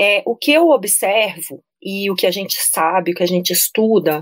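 A woman with an unremarkable speaking voice talks at a medium pitch with lively intonation. The sound is dry and close with no echo. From Brasília, Brazil. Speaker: nutritionist. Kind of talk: casual interview chat.

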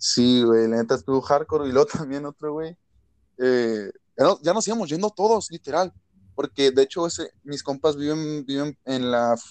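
The sound is dry and close, with no echo, carrying a man's plain, everyday voice. It sits at a fairly high pitch with ordinary pitch variation and moves at a fairly slow pace. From Mexicali, Baja California, Mexico. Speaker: rapper and freestyler. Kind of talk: casual chat.

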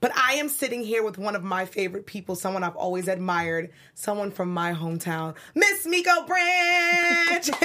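Over noticeable background noise, a woman with a New York accent talks at a moderate pace and medium pitch in an animated tone, with very wide pitch swings and hardly any pauses. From New York City (Brooklyn). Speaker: online show host. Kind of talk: interview. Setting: studio.

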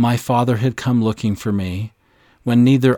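Simple reading aloud, nothing more

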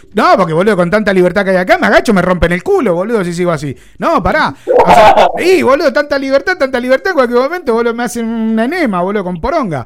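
In a Rioplatense accent, the speaker talks at a very fast pace with an animated tone and very wide pitch swings. Noticeable background noise is audible. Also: man, extremely high pitch for a man. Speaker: radio host. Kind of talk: comedy radio chat. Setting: radio studio.

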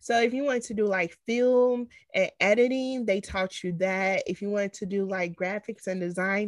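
A woman with an American accent has a normal speaking voice, fairly high in pitch with ordinary pitch variation, at a moderate pace, recorded with a dry, close sound with no echo against a quiet background. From Chicago. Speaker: podcast co-host. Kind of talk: casual chat.

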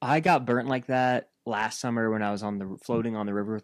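In a very clean recording with a silent background, a man with a normal speaking voice talks at a moderate pace and medium pitch, his intonation fairly even. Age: 20s. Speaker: podcast co-host. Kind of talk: casual chat.

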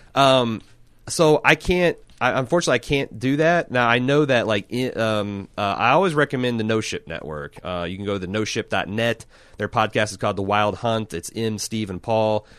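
A man speaks at a moderate pace with a medium pitch. His intonation is lively. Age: 40s. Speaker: podcast host. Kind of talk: casual chat. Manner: halting, frequent false starts.

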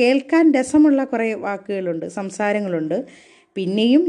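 The woman's fairly high voice carries a dark, mellow tone. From southern Kerala, Kollam district. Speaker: college teacher. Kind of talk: personal storytelling monologue. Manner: conversational.

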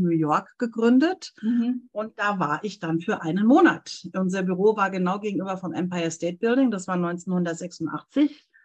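The voice is somewhat breathy, with ordinary pitch variation. The background is quiet. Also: woman. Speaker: translator and interpreter. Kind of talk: casual interview. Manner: animated.

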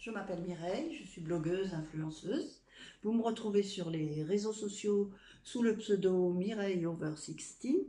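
Speaking very slowly, a woman uses lively intonation at a medium pitch. Her dark, mellow tone is somewhat breathy. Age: 60s. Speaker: blogger and influencer. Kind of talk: casual testimony. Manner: halting.

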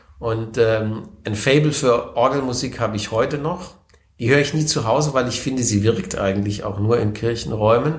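Amid audible room echo, a man speaks in a somewhat breathy voice with fairly even intonation. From southwestern Germany, Baden (Wertheim, then Konstanz). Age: 40s. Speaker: member of parliament. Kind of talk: interview. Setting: office in parliament building.

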